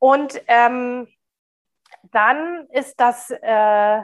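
A woman talks in an ordinary speaking voice, pitched fairly high. Her pitch varies in an ordinary way. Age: 40s. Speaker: diversity consultant and speaker. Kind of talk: interview.

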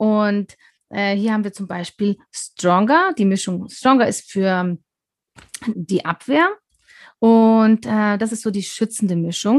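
A woman with a fairly high pitch speaks very slowly, pausing long and often, with ordinary pitch variation. The sound is dry and close with no echo, over a quiet background. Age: 40s. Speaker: wellness consultant. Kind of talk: casual interview. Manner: hesitant, many fillers.

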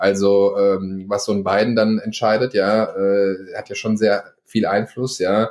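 This man's intonation stays flat and monotone. His pitch sits fairly low. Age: 20s. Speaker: marketer. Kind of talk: casual chat.

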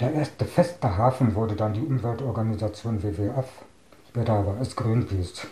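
Dark, mellow tone, somewhat breathy, with ordinary pitch variation at a moderate pace. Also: man, medium pitch for a man. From Brandenburg, near Berlin. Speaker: deaf eyewitness interviewee, programmer. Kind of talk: reading aloud prepared answers. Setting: at home. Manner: reads out, somewhat unusual sounding.

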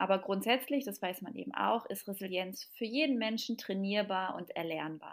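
A woman with a plain, everyday voice speaks at a medium pitch and a moderate pace with ordinary pitch variation and hardly any pauses, on a very clean recording with a silent background. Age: 30s. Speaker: parenting expert and mother. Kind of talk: podcast interview.

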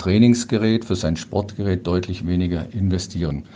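A man uses an ordinary speaking voice at a moderate pace. His intonation is fairly even. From Ruhr area, western Germany (Dortmund). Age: 60s. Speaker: para-cycling athlete. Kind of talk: interview.

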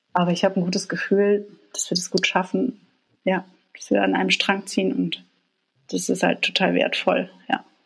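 Long, frequent pauses break up a woman's moderate-paced speech. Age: 40s. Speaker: graphic designer sharing coming-out story. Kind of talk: personal interview, telling life story. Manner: hesitant, many fillers and laughs.

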